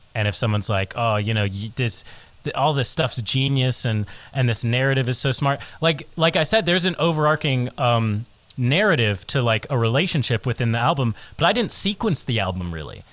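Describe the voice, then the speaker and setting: In an ordinary speaking voice, a man talks at a medium pitch and a fairly quick pace with lively intonation. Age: 20s. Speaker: musician. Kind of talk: casual chat.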